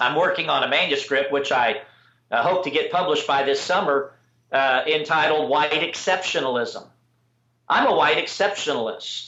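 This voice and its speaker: A man speaks in a plain, everyday voice, pitched fairly high with ordinary variation. His loudness stays very even at a moderate pace. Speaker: political activist. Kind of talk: interview answer. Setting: internet video call.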